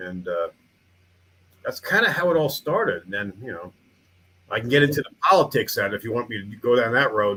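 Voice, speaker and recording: A man speaks at a medium pitch with a bright, sharp tone and a New York accent. His pace is fairly quick, broken by long, frequent pauses. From Long Island, New York. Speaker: town mayor and museum founder. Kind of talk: interview chat. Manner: halting.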